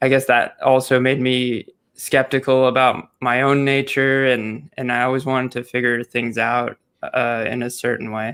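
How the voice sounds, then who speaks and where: A man speaks at a moderate pace and medium pitch in a monotone, flat intonation. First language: Turkish. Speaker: criminal psychology youtuber. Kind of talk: casual interview. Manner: halting, many fillers.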